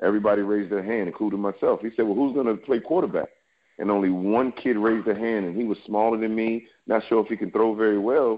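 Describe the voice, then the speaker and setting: Speaking at a very fast pace with an American accent, a man keeps a fairly low pitch and fairly even intonation. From New York City and Alexandria, Virginia. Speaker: former pro football player and trainer. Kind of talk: podcast interview.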